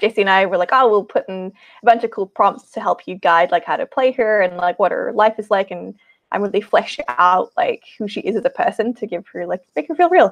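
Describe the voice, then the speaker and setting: A woman speaks at a medium pitch, recorded with a dry, close sound and no echo. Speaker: game master. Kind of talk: tabletop role-play session. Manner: animated.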